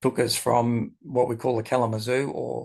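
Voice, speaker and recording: A somewhat breathy man's voice at medium pitch, with fairly even intonation and an Australian accent. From Australia, Melbourne. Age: 60s. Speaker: entrepreneur and esoteric writer. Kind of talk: interview.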